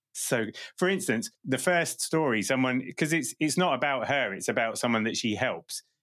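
A man with a plain, everyday voice talks at a medium pitch and moderate pace, with lively intonation. His loudness stays very even on a very clean recording with a silent background. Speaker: podcast host. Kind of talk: casual interview chat.

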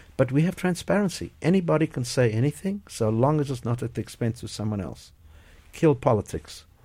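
On a very clean recording with a silent background, a man with a medium pitch speaks fairly quickly in a somewhat breathy voice, his pitch swinging very widely. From South Africa, Port Elizabeth. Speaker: company chairman and CEO. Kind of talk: radio interview. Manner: halting.

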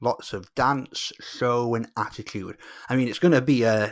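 In a very clean recording with a silent background, a man with an English accent speaks at a medium pitch with fairly even intonation. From England. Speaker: Eurovision podcaster and fan club coordinator. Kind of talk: casual interview chat.

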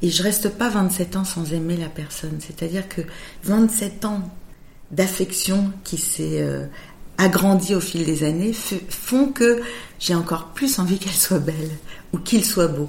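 Somewhat breathy, a woman speaks at a medium pitch with ordinary pitch variation. Her pace is very slow, with long, frequent pauses. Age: 50s. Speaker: makeup artist. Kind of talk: interview.

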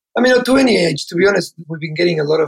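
A man talks at a very fast pace with vocal fry and ordinary pitch variation. The sound is dry and close, with no echo. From Patagonia, Argentina. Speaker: entrepreneur and investor. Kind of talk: interview.

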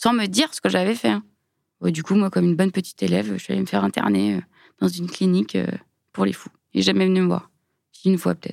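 A woman talks very fast, yet with long, frequent pauses. The recording is very clean and dry, with a silent background, close sound and no echo. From Lyon suburbs, France. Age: 30s. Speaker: biomedical engineer. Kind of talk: testimony. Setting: studio.

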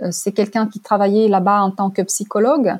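A woman with a Russian accent speaks at medium pitch in a dark, mellow tone. The recording is very clean, with a silent background. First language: Russian (speaking French). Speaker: language teacher and interpreter. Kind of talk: testimony. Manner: hesitant with fillers.

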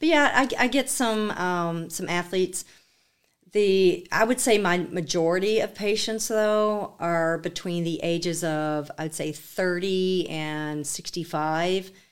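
Speech comes at a fairly slow pace. The pitch shows ordinary variation. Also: woman, medium pitch for a woman. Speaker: physical therapist. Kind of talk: interview. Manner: animated.

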